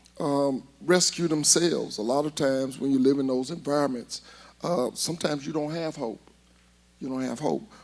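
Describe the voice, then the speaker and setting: A man with an Alabama accent talks at a fairly high pitch, his intonation fairly even. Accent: Southern US (Alabama). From US South, Huntsville, Alabama. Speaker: inner-city learning center director. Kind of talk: interview. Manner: loud.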